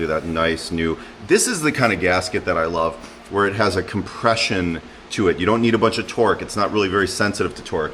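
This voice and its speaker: A man speaks at a very fast pace. Noticeable background noise and audible room echo fill the recording. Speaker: car-repair YouTuber. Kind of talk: casual DIY tutorial monologue. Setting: home garage. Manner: rambling, hesitant with fillers; loud.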